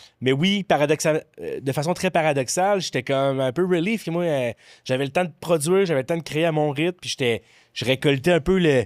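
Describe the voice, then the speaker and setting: A man with a Quebec accent, fairly high-pitched, at a moderate pace with ordinary pitch variation, in a dry, close sound with no echo on a very clean recording with a silent background. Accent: Québécois French. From Quebec City area (Beauport). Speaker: comedian and former restaurant server. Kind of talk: casual podcast chat.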